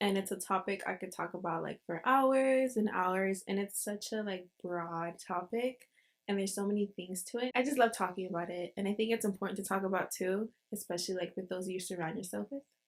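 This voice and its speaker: Speaking in an ordinary speaking voice at medium pitch, a woman moves at a fairly quick pace with fairly even intonation and big swings in loudness. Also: very clean recording, silent background. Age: young. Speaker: college student. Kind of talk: casual podcast conversation.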